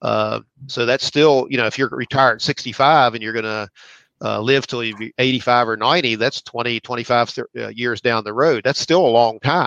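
Bright and sharp in tone, a man with an American accent speaks at medium pitch and a moderate pace with fairly even intonation. The sound is dry and close with no echo, over a quiet background. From West Virginia. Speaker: pension fund executive. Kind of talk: interview. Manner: halting.

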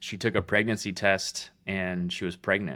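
In a very clean recording with a silent background, a man speaks with fairly even intonation. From California. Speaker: mortgage business owner. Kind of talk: casual interview chat.

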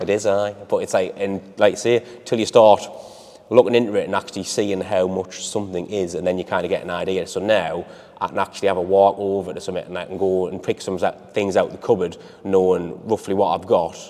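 At a fairly quick pace, a man speaks with monotone, flat intonation as noticeable background noise carries on. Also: fairly low pitch for a man. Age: 40s. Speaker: gym client. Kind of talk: interview.

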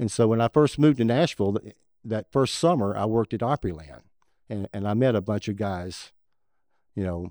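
A man with a Southern US accent, fairly low-pitched and dark, mellow in tone, at a fairly quick pace with ordinary pitch variation, in a dry, close sound with no echo. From West Tennessee. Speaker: saxophone player. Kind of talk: casual chat.

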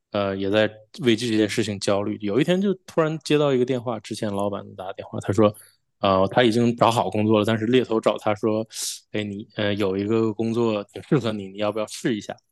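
Against a quiet background, a man with a fairly low voice speaks at a fairly quick pace with ordinary pitch variation, the sound dry and close with no echo. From Northeast China (Shenyang, Liaoning), then Toronto from 2002. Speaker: chip design engineer. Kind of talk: podcast interview. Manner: halting, many fillers.

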